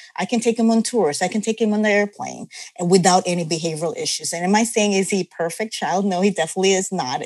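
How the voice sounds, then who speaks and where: A woman speaks very fast at a medium pitch, with hardly any pauses and ordinary pitch variation. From Philippines. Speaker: nurse and parent. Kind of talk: interview.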